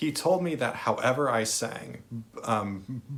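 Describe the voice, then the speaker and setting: A man at medium pitch and a very slow pace. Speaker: vlogger who stutters. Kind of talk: personal storytelling monologue. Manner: stuttering with repetitions and blocks; many filler words.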